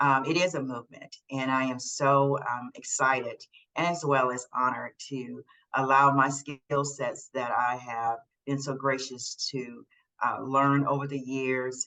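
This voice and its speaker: Fairly slow, monotone delivery with flat intonation and a bright, sharp tone. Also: woman. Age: 60s. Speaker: aging advocate and storyteller. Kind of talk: interview.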